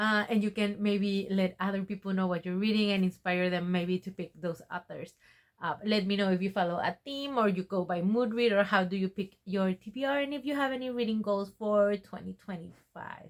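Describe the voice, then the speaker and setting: Moderate pace in a Spanish accent, with ordinary pitch variation and hardly any pauses. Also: woman, medium pitch for a woman. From Mexico. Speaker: book vlogger. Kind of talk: casual vlog talk to camera. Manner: casual with frequent fillers.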